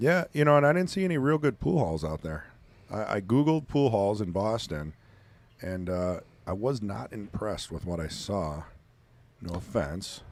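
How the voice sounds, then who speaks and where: Here a man speaks at a moderate pace with a Wisconsin accent. His pitch swings very widely. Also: fairly low pitch for a man. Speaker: pool commentator. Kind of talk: live commentary. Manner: casual, conversational.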